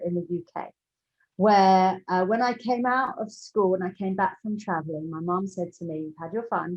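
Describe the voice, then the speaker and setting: In a London accent, a woman speaks at a medium pitch. Her pitch variation is ordinary. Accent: southern English, London, educated. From London, England. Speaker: entrepreneur. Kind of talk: interview.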